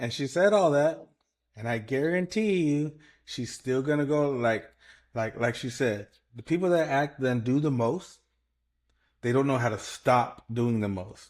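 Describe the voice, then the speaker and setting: A man's medium-pitched voice with lively intonation at a fairly slow pace, long and frequent pauses, and a very clean recording over a silent background. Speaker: podcast co-host. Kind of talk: casual chat. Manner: loud.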